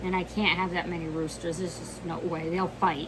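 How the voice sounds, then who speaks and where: A woman speaks in a fairly low pitch. Noticeable background noise runs behind her. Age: 60s. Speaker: homesteader. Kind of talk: casual talk to camera.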